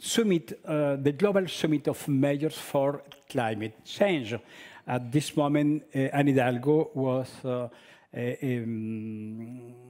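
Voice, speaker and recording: Speaking at a very slow pace, a man has a fairly high-pitched voice with a dark, mellow tone and ordinary pitch variation. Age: 60s. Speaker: professor. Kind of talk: lecture. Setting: stage with audience. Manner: halting, many filler sounds.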